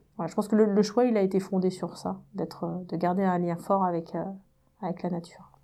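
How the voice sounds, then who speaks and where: A woman speaks with a dark, mellow tone. Her intonation is monotone and flat. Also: medium pitch for a woman. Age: 40s. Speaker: engineer and energy company executive. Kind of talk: interview. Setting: in person. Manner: hesitant, many fillers.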